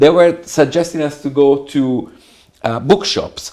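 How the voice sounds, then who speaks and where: A man with a Tuscan accent speaks at a fairly slow pace, his fairly high pitch showing ordinary pitch variation. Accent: Italian (Tuscan). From Italy, Tuscany. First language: Italian. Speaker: architect. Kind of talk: interview conversation. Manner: halting.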